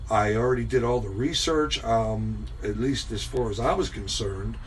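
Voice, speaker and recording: A man speaks at a moderate pace. Noticeable background noise and audible room echo are present. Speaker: homebrewing video host. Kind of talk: casual chat. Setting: at home. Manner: loud.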